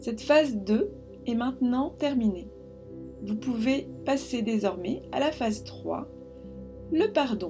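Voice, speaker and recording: With music in the background, a woman speaks in a calm tone at a very slow pace, leaving long, frequent pauses. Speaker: meditation guide. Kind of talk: guided meditation. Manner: calm, soft-spoken, slow.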